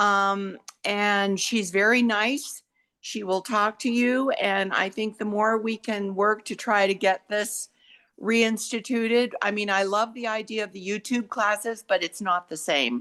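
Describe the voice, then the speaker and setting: A woman's bright, sharp tone at a medium pitch, fairly slow pace, and fairly even intonation. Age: 80s+. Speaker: yoga class participant. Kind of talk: casual chat. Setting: video call.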